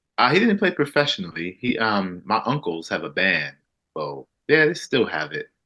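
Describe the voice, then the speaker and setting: With an American accent, this man talks at a moderate pace. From US South, South Carolina. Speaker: musician. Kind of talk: interview. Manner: halting.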